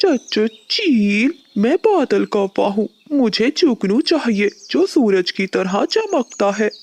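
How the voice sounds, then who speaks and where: This is a cartoonish character voice that sounds female, with a fairly high pitch. It moves at a very slow pace. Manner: earnest, respectful.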